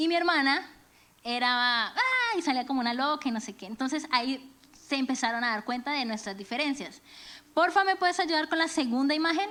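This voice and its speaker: A woman speaks at a fairly quick clip in a high, raised, projected voice, her tone bright and sharp and her intonation lively. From Venezuela and Colombia. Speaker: church speaker, music teacher. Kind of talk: sermon. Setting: church.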